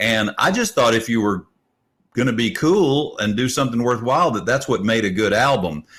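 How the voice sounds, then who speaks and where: This man has a plain, everyday voice at a medium pitch, with lively intonation. He talks at a moderate pace with very even loudness. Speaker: musician and radio host. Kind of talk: casual interview chat. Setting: video call.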